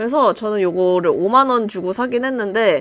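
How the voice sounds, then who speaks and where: In a dry, close sound with no echo, the speaker goes at a moderate pace with ordinary pitch variation. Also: woman. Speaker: YouTuber, gaming channel. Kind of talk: tutorial. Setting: home recording with webcam. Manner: casual, conversational.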